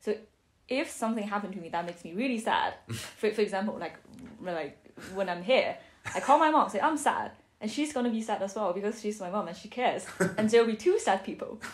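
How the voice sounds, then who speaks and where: A woman with a Chinese accent talks very fast at a fairly high pitch, using lively intonation. Her loudness swings widely, and she takes long, frequent pauses. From Beijing, China. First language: Mandarin Chinese. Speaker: architecture student. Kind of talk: podcast interview answer.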